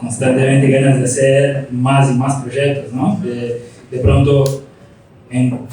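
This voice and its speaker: Through noticeable background noise and audible room echo, a man speaks at a medium pitch and a fairly slow pace. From Brazil. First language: Portuguese (speaking Spanish). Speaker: graphic designer, studio founder. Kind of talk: interview on stage. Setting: live talk with audience.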